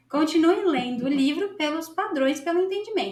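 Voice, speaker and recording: A woman at an extremely high pitch with a Brazilian accent, lively intonation and a moderate pace. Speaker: English teacher. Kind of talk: casual tutorial. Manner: animated; conversational.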